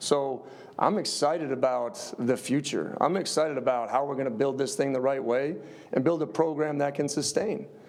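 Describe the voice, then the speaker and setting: A slight Upper Midwest accent with ordinary pitch variation and audible room echo. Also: man. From US Midwest, Upper Peninsula area. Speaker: football head coach. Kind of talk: press conference answers. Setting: press conference.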